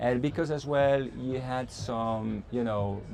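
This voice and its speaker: A man speaks very slowly with a French accent, his pitch medium. His intonation stays fairly even, and the room echo is audible. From France. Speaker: company executive. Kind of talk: interview. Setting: conference. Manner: halting.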